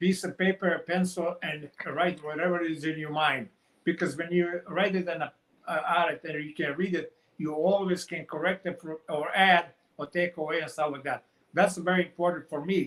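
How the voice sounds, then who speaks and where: A man with a Montenegrin accent speaks at a high pitch and a moderate pace. His intonation stays monotone and flat. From Montenegro. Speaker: author. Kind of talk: interview. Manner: halting.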